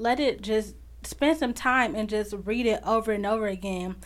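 Fairly even intonation at a fairly slow pace, with an American accent. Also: woman. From Chicago. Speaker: podcast host. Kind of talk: faith-based motivational monologue.

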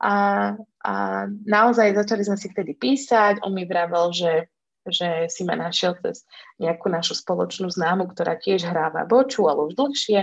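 The voice is a plain, everyday voice. It moves at a moderate pace with lively intonation. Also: woman. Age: 30s. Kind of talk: casual chat.

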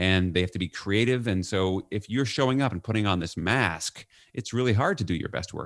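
A man with a normal speaking voice and an American accent, fairly low pitch with ordinary pitch variation, a fairly quick pace, and a very clean recording with a silent background and a dry, close sound with no echo. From New York. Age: 50s. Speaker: leadership author and consultant. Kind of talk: podcast interview.

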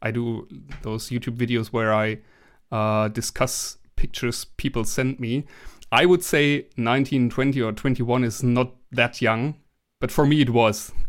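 A man with a German accent, medium pitch and fairly slow pace, on a very clean recording with a silent background. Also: fairly even intonation. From Germany. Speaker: social media creator and hobby tailor. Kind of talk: casual interview.

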